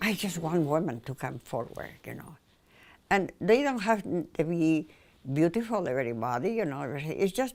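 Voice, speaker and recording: Against a silent background in a very clean recording, a woman with a Spanish accent speaks with very wide pitch swings and big swings in loudness. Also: fairly low pitch for a woman, moderate pace. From Spain, Mallorca. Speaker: painter. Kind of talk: personal interview monologue.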